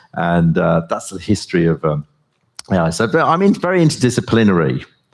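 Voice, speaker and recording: A man with a British accent, fairly quick in pace and very even in loudness. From US and Britain, left Yorkshire as a baby. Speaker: professor and AI researcher. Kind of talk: conference talk and onstage interview. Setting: stage with audience.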